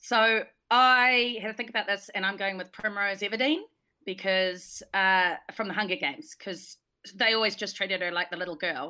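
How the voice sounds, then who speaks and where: With a New Zealand accent and a bright, sharp tone, a woman is heard on a very clean recording against a silent background. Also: medium pitch for a woman, ordinary pitch variation, moderate pace. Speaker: podcast co-host. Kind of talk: casual livestream chat.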